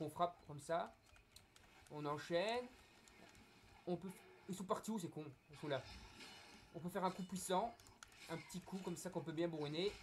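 This man speaks at a high pitch. He leaves long, frequent pauses. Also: ordinary pitch variation, moderate pace. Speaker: gaming youtuber. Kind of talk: gameplay commentary. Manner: hesitant, many fillers. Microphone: poor recording quality.

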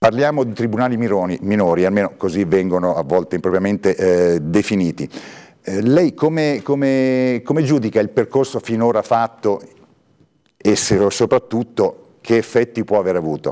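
Against a quiet background, a man speaks at a moderate pace in a fairly low, dark, mellow voice with lively intonation. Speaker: journalist and interviewer; journalist, interviewer. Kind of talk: moderated interview. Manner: halting, repeats words. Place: studio. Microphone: lapel.

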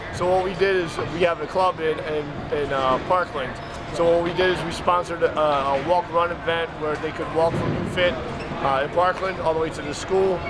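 A man talks at a moderate pace. Loud background noise is present. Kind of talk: interview answer. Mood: earnest, respectful. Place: gym. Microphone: camera far.

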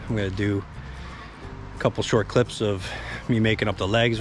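Faint music plays behind a man speaking at a very fast pace in a fairly low pitch. The sound is dry, with no echo. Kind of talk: casual vlog chat. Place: garden. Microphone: phone near.

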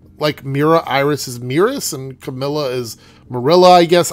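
This man has a nasal, fairly high voice and lively intonation.

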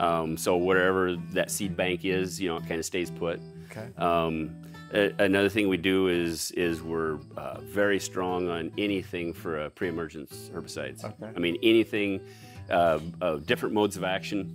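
Clear music plays in the background as a man speaks at a moderate pace. His very deep, low voice shows ordinary pitch variation. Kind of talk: interview answer. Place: open country. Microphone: lapel.

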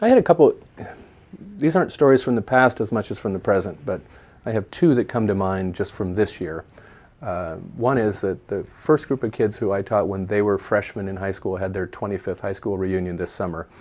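Speaking at a fairly quick pace, a man with an American accent has a fairly low pitch and ordinary pitch variation. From US Pacific Northwest, Portland, Oregon; Oregon. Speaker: toy store owner, former science teacher; podcast guest. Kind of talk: interview monologue; interview answer. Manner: halting. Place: home room. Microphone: webcam.

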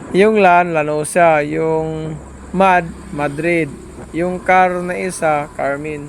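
There is noticeable background noise in this clip. A man speaks with a fairly high pitch. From Surigao del Sur, Mindanao. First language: Surigaonon/Visayan (speaking Tagalog). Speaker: travel vlogger. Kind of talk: vlog narration. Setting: driving on the road. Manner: halting.

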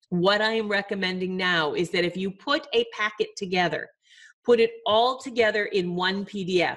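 At a moderate pace against a quiet background, the speaker uses ordinary pitch variation. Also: woman. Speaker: publishing advice host. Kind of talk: advice show talk to viewers. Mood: friendly, upbeat. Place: home room. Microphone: webcam.

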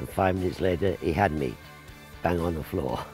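Clear music plays in the background while the voice itself sounds dry with no echo. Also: man. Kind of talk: interview answer. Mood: fond, amused reminiscing. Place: garden. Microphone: lapel.

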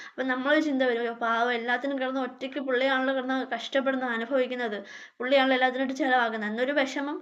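Her pitch sits high. The speaker is a woman. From India, Kerala, Kollam (Punalur). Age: 30s. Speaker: YouTuber, homemaker. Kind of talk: self-introduction Q&A vlog. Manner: halting.

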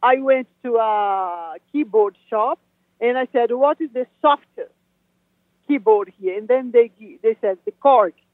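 A woman with a Portuguese accent, at a fairly slow pace, with ordinary pitch variation. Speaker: new age musician. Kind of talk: interview. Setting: phone call. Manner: halting.

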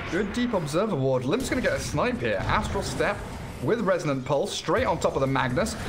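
High-pitched male speech in an animated tone, fairly quick, with very wide pitch swings and music in the background. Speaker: esports commentator. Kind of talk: live esports commentary. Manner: fast, animated play-by-play; excitable, laughs mid-call.

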